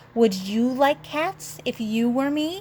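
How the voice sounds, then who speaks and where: In a shrill put-on character voice, a woman speaks high and fairly slowly with very wide pitch swings. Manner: passionate, indignant.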